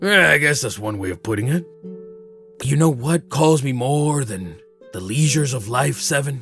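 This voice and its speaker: Over faint music in the background, a man does a put-on character voice at a medium pitch and a moderate pace. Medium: actual play. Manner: earnest, wondering.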